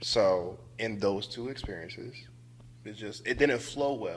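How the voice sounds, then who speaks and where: A man with an American accent and an ordinary speaking voice, at a fairly slow pace with lively intonation. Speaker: returning podcast guest. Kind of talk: casual chat.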